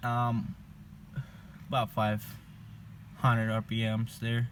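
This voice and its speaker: A man is talking. His pitch is medium. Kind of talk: casual talk to camera. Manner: slow.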